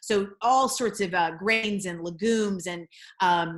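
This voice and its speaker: On a very clean recording with a silent background, a woman with an American accent speaks in a plain, everyday voice at medium pitch with fairly even intonation. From US South. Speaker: Olympic athlete. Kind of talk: panel discussion.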